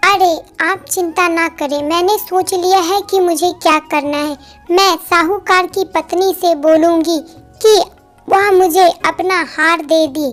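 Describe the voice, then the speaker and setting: Using a cartoonish character voice, a woman speaks at an extremely high pitch and a fairly slow pace with fairly even intonation, faint music playing behind her. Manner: chatty.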